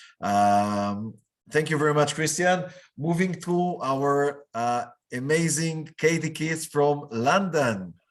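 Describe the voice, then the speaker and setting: A man with a non-native accent speaks at a very slow pace in a fairly high pitch, with lively intonation. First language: not English. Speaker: business chamber director. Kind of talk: online meetup hosting. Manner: hesitant, many fillers.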